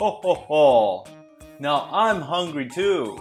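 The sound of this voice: Doing a put-on character voice, a woman speaks slowly at a low pitch with big pitch swings, faint music in the background.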